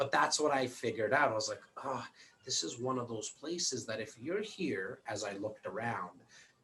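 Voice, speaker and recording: The man has an unremarkable speaking voice, medium in pitch, moving at a moderate pace. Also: lively intonation. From Toronto, Canada. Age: 40s. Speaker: real estate broker and investor. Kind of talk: interview. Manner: repetitive, restarting words often.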